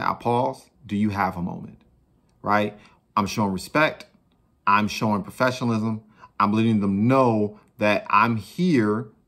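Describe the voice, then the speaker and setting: With an unremarkable speaking voice, a man talks at a fairly low pitch with ordinary pitch variation against a quiet background. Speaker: sales coach. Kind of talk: tutorial. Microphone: phone near.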